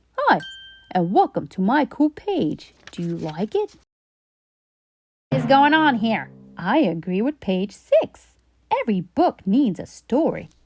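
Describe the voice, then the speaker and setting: Putting on a character voice, a woman speaks fairly slowly at a fairly high pitch while sound effects play in the background. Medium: read story. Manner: cheerful, playful, persuasive.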